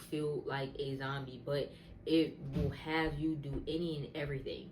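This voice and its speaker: A woman speaks at a very deep, low pitch, with audible room echo around her. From US Northeast, southern New Jersey. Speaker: wig business owner and content creator. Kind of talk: testimony. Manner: casual, filler-heavy.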